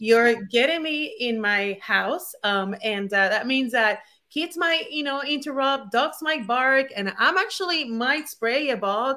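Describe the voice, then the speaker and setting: With a Puerto Rican accent, the speaker uses a raised, projected voice and lively intonation, moving at a fairly slow pace with hardly any pauses. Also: woman, high pitch for a woman. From Puerto Rico. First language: Spanish. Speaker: former attorney turned digital entrepreneur. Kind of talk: interview. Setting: at home, video call.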